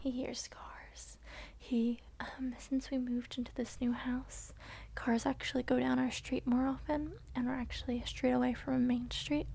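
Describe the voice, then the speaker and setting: A woman speaks softly with a gentle tone. Her pace is moderate. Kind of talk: ASMR soft-spoken talk to camera while petting and brushing a dog. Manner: soft-spoken, gentle.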